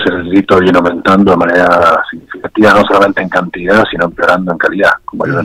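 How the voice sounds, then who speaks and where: A man talking at a very fast pace. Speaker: former security official. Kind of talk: phone interview.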